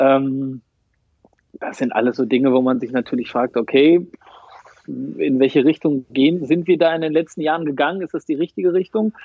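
Moderate-paced male speech, fairly high in pitch, with ordinary pitch variation and long, frequent pauses. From East Westphalia, Germany. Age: 30s. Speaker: football fan representative. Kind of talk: interview.

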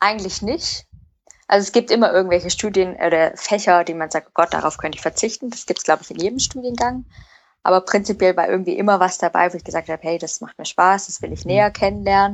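The speech runs very fast with ordinary pitch variation. Loudness swings widely. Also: woman, medium pitch for a woman. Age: young. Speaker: product manager, industrial engineer. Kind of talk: interview.

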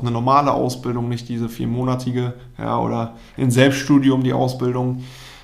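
A man speaks at a moderate pace in a medium pitch, his intonation flat and monotone, with audible room echo around him. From Germany, Münsterland (Telgte). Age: 20s. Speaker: former pro goalkeeper, consultant. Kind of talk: interview. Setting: office.

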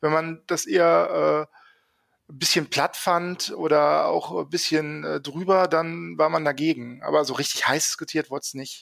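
Speech comes at a fairly slow pace on a very clean recording with a silent background. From Germany, Rhineland (Grevenbroich, NRW). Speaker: guest from the film's hometown. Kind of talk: casual chat.

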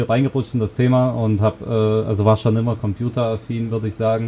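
A man is heard here. His delivery is fairly quick. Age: 20s. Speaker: conversion optimization consultant. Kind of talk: interview. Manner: hesitant with fillers.

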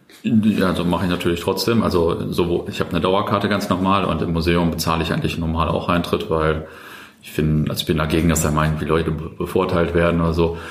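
Over noticeable background noise and audible room echo, a man speaks very fast in a very deep, low pitch with ordinary pitch variation. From Germany, Löhne (Kreis Herford), East Westphalia. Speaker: startup founder and former podcast host. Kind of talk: casual interview. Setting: coworking space.

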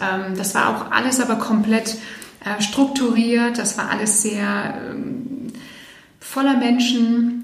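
A woman speaks in a fairly high pitch and a flat monotone, with audible room echo and noticeable background noise. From eastern Canada. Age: 40s. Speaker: financial advisor. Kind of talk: interview. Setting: live podcast recording in Berlin. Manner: hesitant, many fillers.

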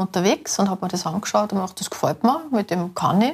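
A woman's somewhat breathy voice sits at a medium pitch and shows ordinary pitch variation. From Austria, Salzburg city. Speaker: hunter and small food producer. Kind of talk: casual interview. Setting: outdoors walking in hunting ground.

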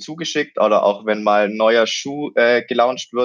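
At a moderate pace, a man with an unremarkable speaking voice talks with fairly even intonation. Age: 20s. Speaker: student and triathlete. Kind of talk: interview.

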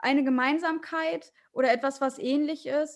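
This woman's intonation is fairly even. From northern Germany, Hannover. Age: 20s. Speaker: fashion label founder. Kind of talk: casual interview.

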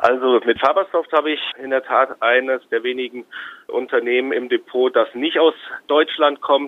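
A man talks at a moderate pace and a medium pitch, with fairly even intonation. He has a plain, everyday voice. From Hesse, Germany (Marburg). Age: 40s. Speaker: stock trader. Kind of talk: interview.

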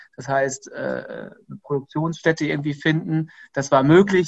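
This man's fairly high voice stays monotone and flat as he speaks at a fairly slow pace. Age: 30s. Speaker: entrepreneur and company founder. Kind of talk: interview. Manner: hesitant with frequent fillers.

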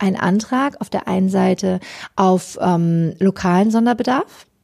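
Speaking at a fairly slow pace, a woman uses a medium-pitched voice with vocal fry and a slightly mellow tone. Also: ordinary pitch variation.

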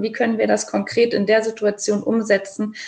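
Vocal fry runs through a woman's fairly high voice as she talks at a fairly quick pace. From Saarland, Germany. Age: 30s. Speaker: educator and children's book author. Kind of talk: interview.

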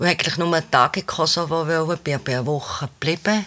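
This is a woman talking. The variation in her pitch is ordinary. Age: 60s. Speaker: theatre co-founder and administrator. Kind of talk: interview. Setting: studio, sitting side by side.

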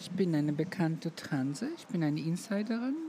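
Her pitch is fairly low, and her intonation is lively. The woman talks at a moderate pace. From Roma, Balkans. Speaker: make-up artist. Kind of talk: interview.

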